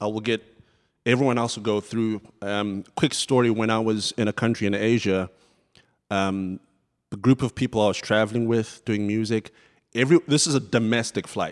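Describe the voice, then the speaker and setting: A man with a Southern African accent speaks at a moderate pace and medium pitch with fairly even intonation, the sound dry and close with no echo in a very clean recording with a silent background. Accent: British-sounding Southern African. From Zimbabwe. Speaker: church music director. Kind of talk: panel discussion.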